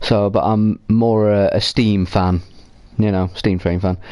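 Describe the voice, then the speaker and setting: Dark and mellow in tone, a man speaks with an English accent. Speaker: video game streamer. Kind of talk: gameplay commentary. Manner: loud; casual, rambling.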